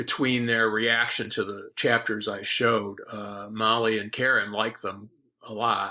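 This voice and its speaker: A man's bright, sharp tone, flat and monotone, at a fairly slow pace. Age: 60s. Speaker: science fiction novelist. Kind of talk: interview. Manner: halting, many fillers.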